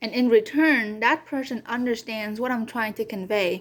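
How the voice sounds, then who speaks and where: A woman's high voice moves at a moderate pace with ordinary pitch variation. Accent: Vietnamese. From Vietnam. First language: Vietnamese. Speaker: community college student. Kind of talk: class presentation speech. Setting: recorded video for online class. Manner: occasional stutter.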